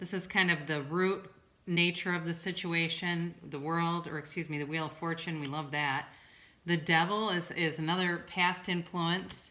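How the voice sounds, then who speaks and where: A woman speaks with a strong Midwestern US accent and a fairly low pitch. Her intonation stays monotone and flat. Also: moderate pace. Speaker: tarot reader and licensed therapist. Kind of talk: tarot reading video. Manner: casual, with many fillers.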